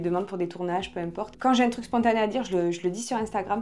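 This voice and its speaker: A woman talks at a very fast pace in a fairly high voice. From southwestern France, Marmande. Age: 20s. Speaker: podcast host and former hairdresser. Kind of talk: casual Q&A interview. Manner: casual, many filler hesitations.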